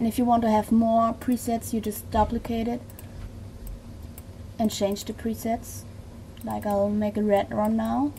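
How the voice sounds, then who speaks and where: A woman speaks with a German accent at a fairly slow pace. She leaves long, frequent pauses. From Germany. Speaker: video tutorial creator. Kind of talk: tutorial. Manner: halting.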